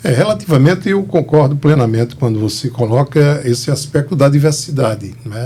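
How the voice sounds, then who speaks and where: Somewhat breathy with a dark, mellow tone, a man talks at medium pitch with ordinary pitch variation. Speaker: historian and cultural organizer. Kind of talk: interview.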